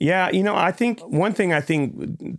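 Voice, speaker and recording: In a normal speaking voice, a man talks at a moderate pace with lively intonation on a very clean recording with a silent background. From Alabama, US South; Air Force family, moved around the US. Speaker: audio engineer and producer. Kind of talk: casual interview.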